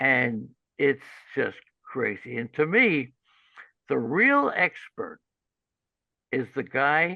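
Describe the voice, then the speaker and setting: A man's fairly high, bright, sharp voice at a very slow pace, with lively intonation and long, frequent pauses. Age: 70s. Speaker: fantasy baseball analyst and radio host. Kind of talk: podcast interview.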